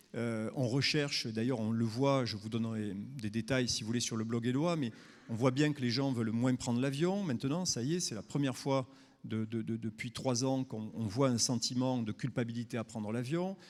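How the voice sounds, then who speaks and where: With a southern French accent, a man speaks at a moderate pace. His pitch is medium, with ordinary variation. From southern France. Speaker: tourism marketing speaker. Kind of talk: conference talk. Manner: hesitant, many fillers.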